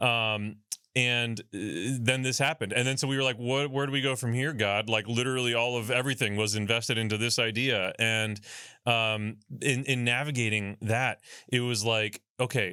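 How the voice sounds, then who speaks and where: A man's medium-pitched voice, bright and sharp in tone, at a moderate pace with fairly even intonation, on a very clean recording with a silent background. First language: Spanish (bilingual with English). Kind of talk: casual interview chat. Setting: studio.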